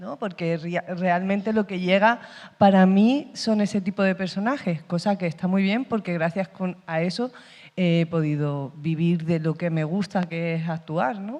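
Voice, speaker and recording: A woman's fairly low voice with an Andalusian accent, at a fairly slow pace. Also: ordinary pitch variation. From Andalusia, Spain. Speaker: actress. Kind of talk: panel discussion. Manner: halting.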